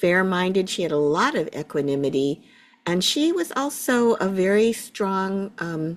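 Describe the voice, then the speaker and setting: On a very clean recording with a silent background, a woman with an American accent speaks at medium pitch with very wide pitch swings. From US Midwest, Cleveland, Ohio. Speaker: Buddhist teacher. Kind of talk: interview.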